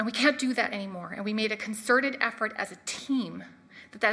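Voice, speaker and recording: A woman's voice sounds shaky as she speaks at a fairly quick pace. Her pitch varies in an ordinary way. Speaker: marine scientist. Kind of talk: lecture. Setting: stage with audience. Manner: shaky, emotional.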